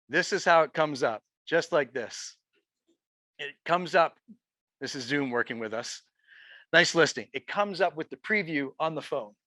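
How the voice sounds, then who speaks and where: With a bright, sharp tone and fairly high pitch, a man speaks in an animated way with ordinary pitch variation and long, frequent pauses, the sound dry and close with no echo against a quiet background. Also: moderate pace. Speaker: real estate agent and trainer. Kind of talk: live software training session. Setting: room with live audience, also streamed online.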